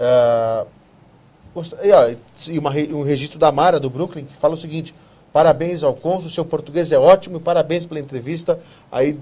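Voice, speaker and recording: A man speaks at a moderate pace with a dark, mellow tone and fairly even intonation. His loudness swings widely, and he takes long, frequent pauses. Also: fairly high pitch for a man. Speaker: TV talk show host. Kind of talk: TV interview.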